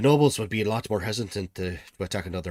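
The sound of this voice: Lively intonation shapes the delivery. It comes in an unforced reading voice.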